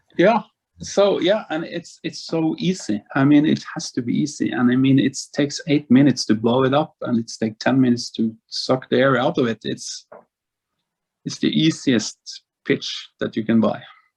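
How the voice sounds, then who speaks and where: Dry and close with no echo, a man's fairly high voice moves at a moderate pace with lively intonation. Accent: Norwegian. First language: Norwegian. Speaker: football tournament organizer. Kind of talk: interview.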